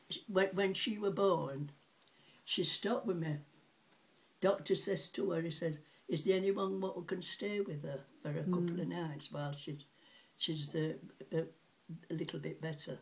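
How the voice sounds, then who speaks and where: A somewhat breathy woman with a fairly low pitch and ordinary pitch variation keeps a moderate pace, with long, frequent pauses. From Sheffield, England. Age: 80s+. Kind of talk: interview answer.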